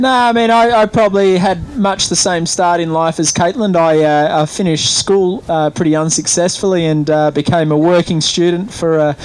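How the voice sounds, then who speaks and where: Speaking in an Australian accent, a man with a high pitch keeps a moderate pace, very even loudness, ordinary pitch variation and hardly any pauses over noticeable background noise. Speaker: event rider. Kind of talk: interview. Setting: interview lounge at event. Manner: halting, many fillers.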